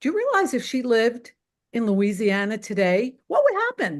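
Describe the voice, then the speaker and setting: A woman with a New York accent, fairly high in pitch, at a moderate pace against a quiet background. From Queens, New York. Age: 60s. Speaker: caller. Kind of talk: heated debate. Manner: animated.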